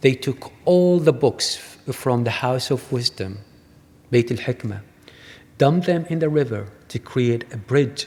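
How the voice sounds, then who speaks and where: A man talks fairly slowly in a somewhat breathy voice, with ordinary pitch variation. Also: medium pitch for a man. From Iraq. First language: Arabic. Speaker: artist. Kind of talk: lecture.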